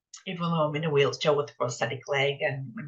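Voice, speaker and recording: Here a woman speaks with a very deep, low pitch. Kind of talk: interview. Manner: halting, with frequent repetitions.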